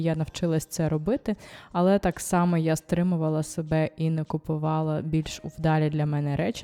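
On a very clean recording with a silent background, a woman speaks at a moderate pace in a dark, mellow tone. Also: dry, close sound with no echo. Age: 30s. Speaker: style vlogger and personal shopper. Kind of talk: casual vlog monologue.

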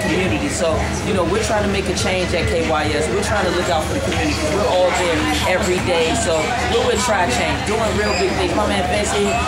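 Clear background music under a man talking at a fairly quick pace. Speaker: radio personality hosting a store launch. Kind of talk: promotional hype talk. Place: shop. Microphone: camera far.

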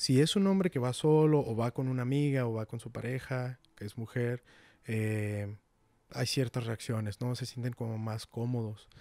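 A man's medium-pitched voice with a dark, mellow tone and a slight northern Mexican accent, ordinary pitch variation, a moderate pace and a dry sound with no echo. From Mexico, Guadalupe, Nuevo León; Nuevo León, Mexico. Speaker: nonprofit outreach manager; podcast guest. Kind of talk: casual interview. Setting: in person, Monterrey. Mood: relaxed, friendly, animated. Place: home room. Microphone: handheld.

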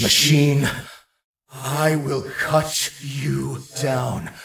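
In a put-on character voice with vocal fry, a man speaks very slowly at a medium pitch, with little pitch movement and audible room echo. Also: fairly bright tone.

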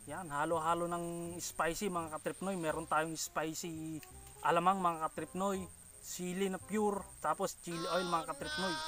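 Clear music plays behind a man with a high pitch and fairly even intonation. He talks at a fairly slow pace, and the sound is dry with no echo. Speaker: food vlogger. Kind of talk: casual vlog chat. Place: farm.

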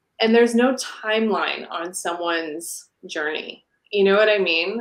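A woman's medium-pitched voice, fairly even in intonation, with audible room echo over a quiet background. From Portland, US, then Canada from age 10. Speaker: dancer and dance teacher; dance teacher. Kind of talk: casual interview chat. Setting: live stream. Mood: earnest, reflective. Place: home room. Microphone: video call.

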